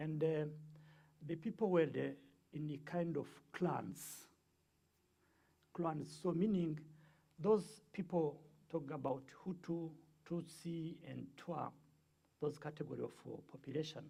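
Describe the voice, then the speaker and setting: A man with a Rwandan accent speaks at a fairly high pitch in a dark, mellow tone. His pace is fairly slow, broken by long, frequent pauses. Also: fairly even intonation. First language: Kinyarwanda. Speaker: guest speaker on the Rwandan genocide. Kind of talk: lecture. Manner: halting, many fillers.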